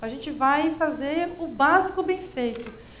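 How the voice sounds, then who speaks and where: A São Paulo accent with ordinary pitch variation, plus audible room echo and noticeable background noise. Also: woman. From Brazil, São Paulo. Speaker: education specialist. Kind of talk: panel discussion.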